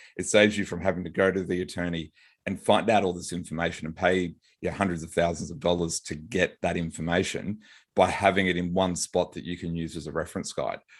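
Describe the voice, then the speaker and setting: In a quiet background, a man with a very deep, low voice talks very fast with fairly even intonation. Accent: Australian. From Australia, Brisbane. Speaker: business lawyer and author. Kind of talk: podcast interview. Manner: halting, with fillers and repeats.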